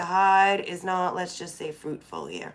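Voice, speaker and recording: A woman speaks at a medium pitch. She has a plain, everyday voice. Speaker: tarot reader. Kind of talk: tarot reading. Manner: casual.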